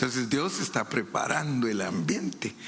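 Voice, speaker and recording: With audible room echo, a man speaks at a moderate pace in a medium pitch. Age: 70s. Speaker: preacher. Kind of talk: sermon.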